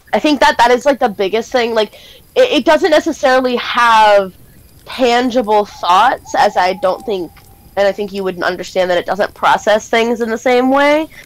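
A woman with lively intonation talks at a moderate pace in a dry sound with no echo. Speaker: game master. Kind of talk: tabletop role-play narration. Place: home room. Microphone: headset.

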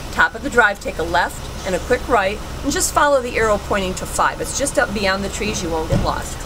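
Noticeable background noise sits behind a woman talking at a fairly quick pace. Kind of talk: giving directions. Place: car. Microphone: camera far.

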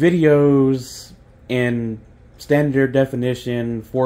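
A man talks in a dark, mellow tone with monotone, flat intonation. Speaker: hobbyist video camera collector. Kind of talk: casual talk to camera. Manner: hesitant, many pauses and fillers. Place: kitchen. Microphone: phone near.

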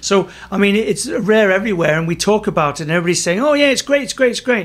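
A man speaks with lively intonation. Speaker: podcast host or guest. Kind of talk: interview conversation. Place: office. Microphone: studio mic.

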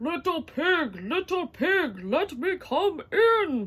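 A put-on character voice, growling at an extremely high pitch. The delivery is very slow. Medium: read story.

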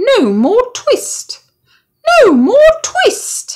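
Squeaky put-on character voice from a woman at an extremely high pitch. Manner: shouting in chorus.

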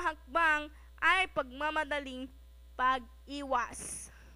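The voice is raised and projected, with a bright, sharp, dramatic tone. It moves at a very slow pace with fairly even intonation. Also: woman. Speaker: narrator reading a short story aloud. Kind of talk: dramatic narration, reading a Filipino short story aloud. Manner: expressive, dramatic, steady storytelling pace.

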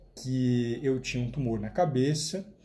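Somewhat breathy, a man talks with a Brazilian accent. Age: 40s. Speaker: nutritionist. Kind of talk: testimony. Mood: earnest, hopeful. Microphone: phone near.

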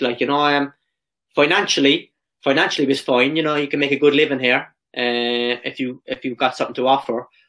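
A man in a Cork accent, fairly quick and fairly even in intonation, against a quiet background. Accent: Irish (Cork). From Ireland. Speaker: professional footballer; podcast guest. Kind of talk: casual interview. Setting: video call. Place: home room.

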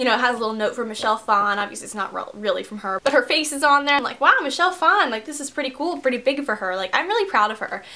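Over noticeable background noise, a woman talks very fast in a high, raised, projected voice with hardly any pauses. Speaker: beauty vlogger. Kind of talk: casual vlog haul, chatty. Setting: filming at home, in bedroom. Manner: chatty, rambling, filler words.

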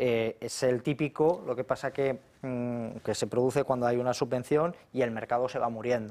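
A man speaks with hardly any pauses. His dark, mellow tone carries fairly even intonation. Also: moderate pace. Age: 40s. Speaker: economist and politician; politician. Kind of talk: political talk show debate. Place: studio. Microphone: lapel.

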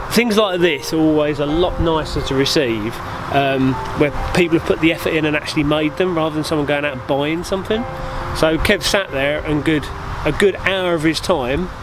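Fairly quick speech with ordinary pitch variation, a dry sound with no echo and noticeable background noise. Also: man. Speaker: bushcraft vlogger. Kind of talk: casual vlog chat. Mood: pleased, relaxed. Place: forest. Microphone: phone near.

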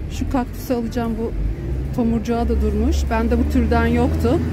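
Music plays in the background as a woman talks at a moderate pace, her voice dry with no echo. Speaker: vlogger. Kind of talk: casual vlog chat. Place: market. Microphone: phone near.

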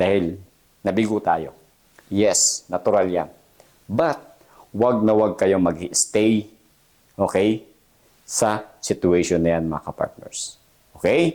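Very slowly and with long, frequent pauses, a man speaks in a fairly low pitch with a dark, mellow tone and ordinary pitch variation. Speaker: jail officer and career vlogger. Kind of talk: motivational pep talk to applicants. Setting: solo video address to camera. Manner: earnest, emphatic, encouraging, repeats "okay?" often.

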